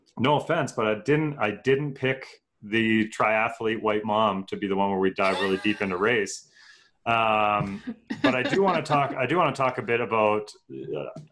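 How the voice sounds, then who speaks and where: With a Canadian accent, a man speaks in a plain, everyday voice at medium pitch, with ordinary pitch variation. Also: moderate pace. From Canada. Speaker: podcast host. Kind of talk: casual interview chat.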